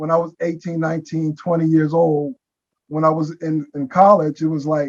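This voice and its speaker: A man's normal speaking voice, fairly high in pitch, at a moderate pace with an American accent. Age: 60s. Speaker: artist. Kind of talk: panel discussion. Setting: video call.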